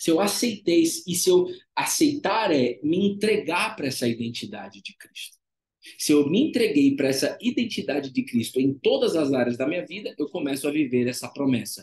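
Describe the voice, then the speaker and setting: His pitch is fairly high, and this man keeps a moderate pace. The pitch moves up and down very widely. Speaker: devotional preacher and former therapist. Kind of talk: live devotional preaching. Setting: livestream with chat.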